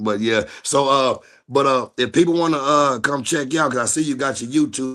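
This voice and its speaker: Fairly even intonation and a bright, sharp tone mark this man's speech. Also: fairly high pitch for a man, moderate pace. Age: 40s. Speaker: streamer interviewer. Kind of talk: casual chat.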